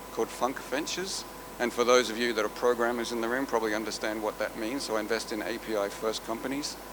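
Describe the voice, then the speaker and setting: Amid audible room echo and noticeable background noise, a man talks very fast with fairly even intonation. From Australia. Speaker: venture capital investor. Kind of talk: conference panel talk. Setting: stage with audience.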